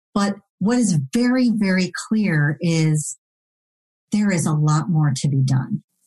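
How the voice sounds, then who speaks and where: In a somewhat breathy, dark and mellow tone, a woman speaks at a fairly low pitch and a very slow pace, her intonation lively and her loudness very even. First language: non-English (learned English as second language). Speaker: diversity and belonging consultant, former attorney. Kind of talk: interview podcast.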